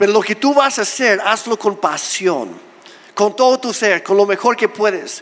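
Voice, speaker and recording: A high-pitched man speaks at a fairly slow pace with ordinary pitch variation over noticeable background noise. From Mexico, Oaxaca. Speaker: pastor. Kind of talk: sermon.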